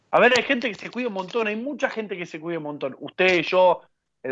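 A man speaking at a fairly quick pace with lively intonation. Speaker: radio host. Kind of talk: casual chat. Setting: studio. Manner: animated.

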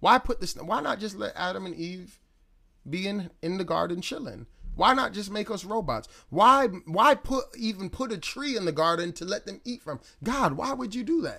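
A man's high-pitched, raised, projected voice with a bright, sharp tone at a moderate pace. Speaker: preacher. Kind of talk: live-streamed sermon, preaching and Bible teaching to viewers. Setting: online live stream. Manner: conversational, direct address to viewers.

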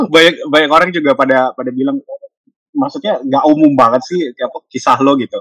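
At a moderate pace, a man with a fairly high pitch and an ordinary speaking voice uses ordinary pitch variation, the sound dry and close with no echo. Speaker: university lecturer. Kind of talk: casual interview.

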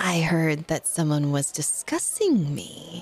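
A put-on character voice moves at a fairly slow pace with a middle pitch. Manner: formal, cryptic.

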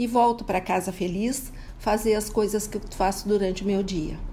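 A woman with a fairly high voice speaks in a flat monotone over background music. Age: 70s. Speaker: retiree. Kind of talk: interview.

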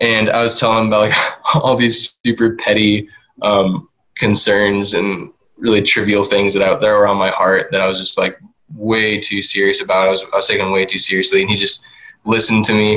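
A man with a normal speaking voice and a fairly low pitch talks at a fairly quick pace. His intonation is fairly even and his loudness very even. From Moscow, Idaho, US. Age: 20s. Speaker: college student. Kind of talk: casual interview.

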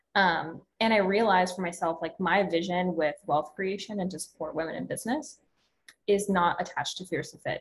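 A woman speaks at a fairly quick pace and a medium pitch. Her somewhat breathy voice shows ordinary pitch variation. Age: 20s. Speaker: fitness coach and social media creator. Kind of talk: casual interview.

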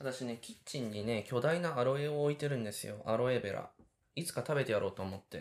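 A man talks very fast at a medium pitch. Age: 30s. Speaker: podcast host, cooking school student. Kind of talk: casual solo talk while cooking. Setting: home kitchen.

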